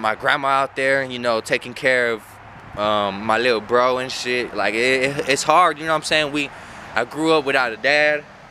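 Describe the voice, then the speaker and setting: With an American accent, a man speaks at a moderate pace and ordinary pitch variation. The sound is dry with no echo, over light background noise. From San Antonio, Texas; Texas. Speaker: YouTuber / vlogger; YouTuber, vlogger. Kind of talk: casual vlog monologue. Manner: animated. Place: street. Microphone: phone near.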